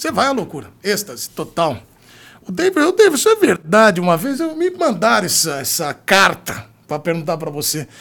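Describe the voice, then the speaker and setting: Animated and at a fairly quick pace, a man speaks at a high pitch with very wide pitch swings. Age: 40s. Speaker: sports journalist and podcast host. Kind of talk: casual chat.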